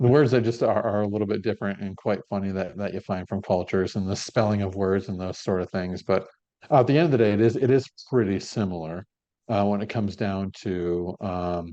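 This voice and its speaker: With an American accent, a man talks fairly quickly in a dark, mellow tone at a fairly low pitch, with ordinary pitch variation against a quiet background. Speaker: entrepreneur, golf business founder. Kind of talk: podcast interview.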